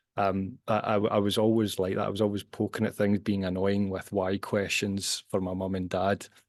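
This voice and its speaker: This man speaks in a Glasgow accent with a monotone, flat intonation and a fairly low pitch. His pace is moderate with hardly any pauses, over a quiet background. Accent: Scottish (Glasgow). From Scotland, Glasgow. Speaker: scientist and author. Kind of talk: podcast interview. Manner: hesitant, repeats words.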